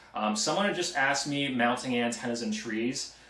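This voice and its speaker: A man with an American accent and ordinary pitch variation, amid noticeable background noise and audible room echo. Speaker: antenna tech YouTuber. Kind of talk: live stream Q&A. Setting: live stream. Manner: hesitant, many ums.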